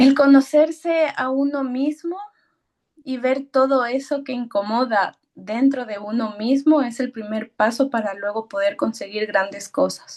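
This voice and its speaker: The speech moves at a fairly slow pace, with ordinary pitch variation. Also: woman, high pitch for a woman. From Ecuador. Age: 30s. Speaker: personal development mentor. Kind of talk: casual chat.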